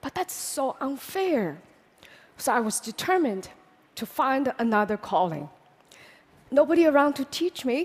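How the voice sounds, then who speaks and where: A woman with a Chinese accent speaks at a moderate pace in a high pitch with very wide pitch swings and long, frequent pauses, over noticeable background noise. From China. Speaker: public speaker. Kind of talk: public talk.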